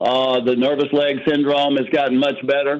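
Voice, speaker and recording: A man's unremarkable speaking voice, fairly high-pitched and at a moderate pace. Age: 60s. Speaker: testimonial giver on sales call. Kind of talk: testimony.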